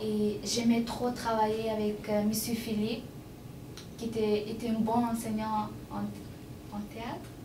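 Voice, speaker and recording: A woman with a non-native accent speaks very slowly in a fairly high, monotone, flat voice, with long, frequent pauses, audible room echo and noticeable background noise. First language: not French (speaking French). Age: 20s. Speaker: adult education student. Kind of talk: testimony. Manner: halting, many hesitations.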